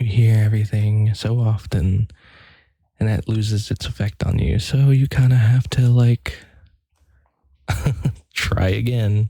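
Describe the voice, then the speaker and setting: Soft-spoken and fairly low in pitch, a man talks at a fairly slow pace with fairly even intonation and long, frequent pauses, the sound dry and close with no echo. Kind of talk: ASMR rambling talk to camera.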